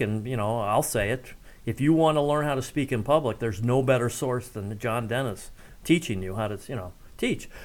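A man with an American accent talks at a moderate pace in a normal speaking voice of medium pitch. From US Midwest, Ohio (Cincinnati and Columbus). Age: middle-aged. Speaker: former local radio host and town official. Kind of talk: casual interview.

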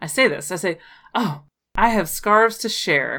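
A woman's bright, sharp tone with lively intonation at a moderate pace, on a very clean recording with a silent background. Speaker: tabletop role-playing game player. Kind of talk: tabletop role-play session, casual.

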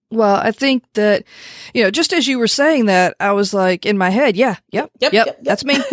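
An ordinary speaking voice, a woman's voice has a fairly high pitch, lively intonation, very even loudness and a moderate pace, with a dry, close sound with no echo. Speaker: podcast host. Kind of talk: interview.

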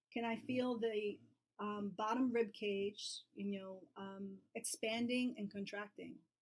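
A woman with an American accent speaks at a fairly high pitch and a fairly slow pace, her voice somewhat breathy. Her intonation stays fairly even, broken by long, frequent pauses. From New York City. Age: 40s. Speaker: yoga therapist. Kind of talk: casual chat.

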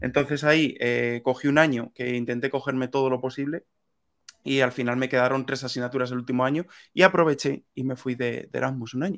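Fairly quick in pace, a man talks with an unremarkable speaking voice. His pitch is medium and his intonation fairly even. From Spain, Toledo province. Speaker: software/tech community member. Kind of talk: interview.

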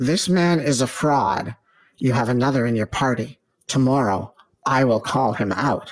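In a put-on character voice, a man speaks at a moderate pace with a medium pitch. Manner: game show host delivery.

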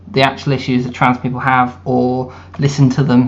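The background has noticeable noise. Over it, a man talks. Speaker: writer and party member. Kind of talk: interview discussion.

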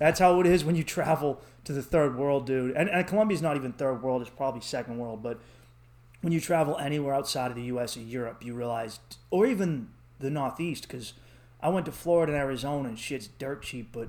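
A man speaks in a Boston accent with a slightly mellow tone. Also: medium pitch for a man, ordinary pitch variation, fairly quick pace.

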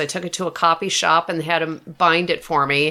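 A bright, sharp tone from a woman at a fairly low pitch. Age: 50s. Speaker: author. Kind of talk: interview.

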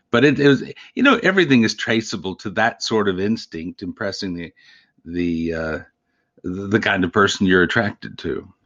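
Here a man with a Texan accent talks at a moderate pace. His pitch is fairly low, with ordinary pitch variation. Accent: Texan American. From Texas Panhandle. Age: 60s. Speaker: grammarian and book collector. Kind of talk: interview.

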